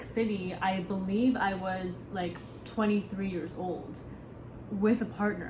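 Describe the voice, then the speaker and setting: A woman at medium pitch with fairly even intonation, a very slow pace and noticeable background noise. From United States. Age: 20s. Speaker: content creator. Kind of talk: casual talk to camera.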